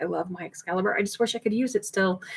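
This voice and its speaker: The speech runs at a fairly quick pace with ordinary pitch variation. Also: woman. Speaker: food preservation channel host. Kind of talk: live stream Q&A. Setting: home, laundry closet behind her. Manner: fast.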